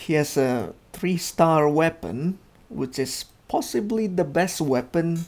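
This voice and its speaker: Male speech in a non-native accent, its pitch varying in an ordinary way. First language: not English. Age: 30s. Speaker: gaming youtuber. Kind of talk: casual game review commentary.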